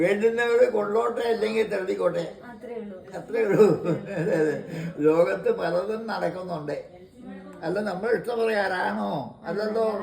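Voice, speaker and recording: Through noticeable background noise, a man speaks in a high voice with ordinary pitch variation. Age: 80s+. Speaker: former radio presenter. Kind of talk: interview answer.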